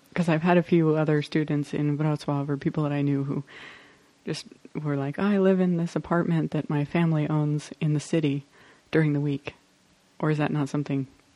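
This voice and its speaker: In a Southwestern US accent, a woman speaks at a fairly quick pace with monotone, flat intonation. Her pitch is very deep and low, with a dark, mellow tone. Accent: US Southwest American. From Arizona, US. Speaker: podcast host. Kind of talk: casual interview chat. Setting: home kitchen.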